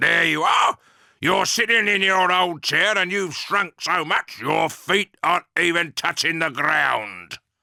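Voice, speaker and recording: Using a put-on character voice, a man growls at a high pitch and a fairly slow pace with very even loudness, the sound dry and close with no echo on a very clean recording with a silent background. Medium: read story. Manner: mocking, gloating.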